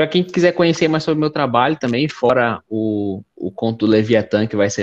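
Against a quiet background, a man speaks at medium pitch with lively intonation in an unremarkable speaking voice. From Belém, Pará, Brazil. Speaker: graphic designer and writer. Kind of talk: live stream interview.

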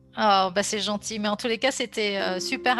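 Through noticeable background noise, a woman talks at a moderate pace and medium pitch with fairly even intonation. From France, Grenoble. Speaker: sophrologist. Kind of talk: interview conversation. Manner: hesitant, many fillers.

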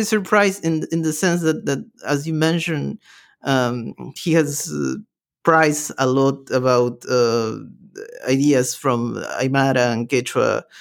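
At a fairly slow pace, the speaker talks in a Spanish accent in a very clean recording with a silent background. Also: man. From Peru. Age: 20s. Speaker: podcast host. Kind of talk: interview. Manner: halting, many repetitions.

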